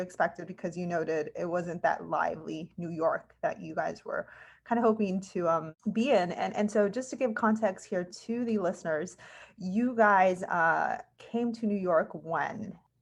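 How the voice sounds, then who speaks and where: With an American accent, a woman has an unremarkable speaking voice of medium pitch and ordinary pitch variation, set against a quiet background. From California. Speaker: podcast host. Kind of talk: casual interview.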